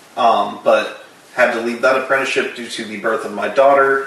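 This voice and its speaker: A man with an American accent and fairly even intonation, amid noticeable background noise and audible room echo. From Florida, Tampa Bay. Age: 20s. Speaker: body piercer. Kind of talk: casual interview. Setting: at home.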